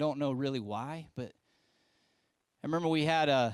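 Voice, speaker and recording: A man with an American accent speaks with ordinary pitch variation. The recording is very clean with a silent background and a dry, close sound with no echo. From West Virginia, US. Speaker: pastor. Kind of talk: sermon to young adults. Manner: casual, conversational with filler words.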